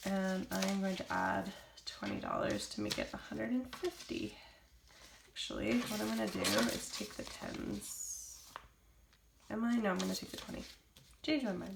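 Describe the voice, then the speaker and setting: Amid noticeable background noise and audible room echo, a woman talks at a moderate pace with long, frequent pauses. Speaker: vlogger. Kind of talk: tutorial. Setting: at home. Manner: casual, hesitant.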